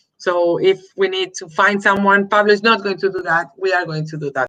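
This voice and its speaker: A woman's bright, sharp tone with a Spanish accent. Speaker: host of adoptee search live stream. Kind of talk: live stream interview. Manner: halting.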